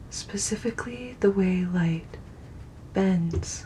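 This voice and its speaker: The speaker talks at a very slow pace in a calm tone. Background noise is noticeable throughout. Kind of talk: soft-spoken ASMR science narration for sleep. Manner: soft, calm, relaxing.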